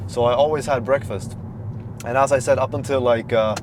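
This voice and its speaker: A man talks fairly quickly, his pitch varying in an ordinary way, while noticeable noise runs in the background. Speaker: health coach vlogger. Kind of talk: casual vlog. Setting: at home, then in a car. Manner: casual, filler-heavy; quiet.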